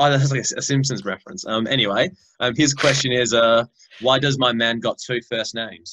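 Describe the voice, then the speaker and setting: A man with an Australian accent speaks at medium pitch in a bright, sharp tone, keeping a moderate pace and fairly even intonation. The sound is dry and close, with no echo. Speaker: podcast host. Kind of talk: casual chat. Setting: video call.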